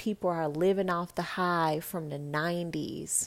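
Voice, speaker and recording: In a very clean recording with a silent background, a woman with an American accent and an ordinary speaking voice talks at a moderate pace, her fairly low pitch held in fairly even intonation. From Texas (Dallas). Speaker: podcast host, motivational speaker. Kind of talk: casual motivational monologue.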